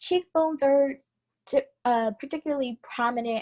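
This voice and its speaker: A woman's voice comes across somewhat breathy. The sound is dry and close, without echo. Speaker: beauty instructor. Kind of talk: tutorial.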